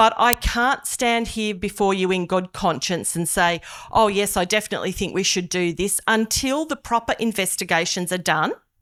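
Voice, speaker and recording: In a very clean recording with a silent background, a woman with an Australian accent talks at a moderate pace and medium pitch, with ordinary pitch variation and hardly any pauses. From Australia, Hunter region NSW. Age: 50s. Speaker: politician. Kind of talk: public meeting speech. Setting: public meeting hall with audience.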